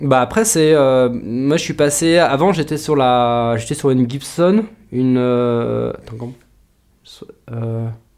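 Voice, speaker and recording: The speech is very slow, with ordinary pitch variation. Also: man. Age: 30s. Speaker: rockabilly guitarist. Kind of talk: casual interview chat. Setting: studio.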